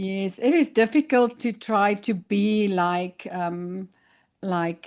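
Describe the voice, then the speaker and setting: This woman speaks with a South African accent at a medium pitch, with ordinary pitch variation. The background is quiet. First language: Afrikaans. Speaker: podcast host. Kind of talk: interview.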